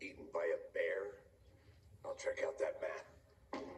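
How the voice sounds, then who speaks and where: A man's raspy, put-on character voice, extremely high-pitched, at a fairly slow pace over clear background noise. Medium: video game. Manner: dry, deadpan, terse.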